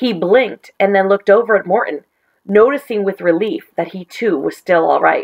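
Quiet surroundings behind a natural reading voice

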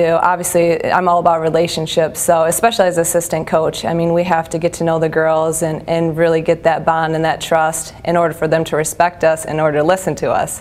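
Speaking in a fairly low pitch with monotone, flat intonation, a woman talks with an American accent. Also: hardly any pauses. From US Midwest, Iowa. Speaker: basketball assistant coach. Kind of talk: interview. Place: studio.

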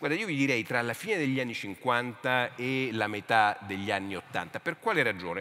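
A man's medium-pitched, an ordinary speaking voice, at a moderate pace with lively intonation and hardly any pauses. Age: 50s. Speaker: literature professor and author; speaker. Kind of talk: panel discussion. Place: stage. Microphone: headset.

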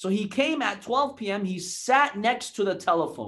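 A man with a high voice speaks against a quiet background. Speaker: religious lecturer. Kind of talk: sermon.

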